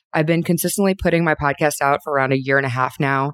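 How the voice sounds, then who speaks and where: A woman speaks with a very deep, low pitch and fairly even intonation. The recording is very clean and dry, close with no echo and a silent background. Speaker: personal brand and growth expert. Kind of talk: recorded podcast contribution, advice talk.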